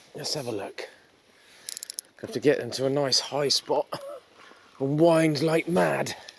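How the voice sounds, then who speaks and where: A man with a fairly high pitch talks at a fairly slow pace with long, frequent pauses and ordinary pitch variation. Noticeable background noise can be heard. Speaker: fishing vlogger. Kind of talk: casual vlog narration. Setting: outdoors on the shore at night.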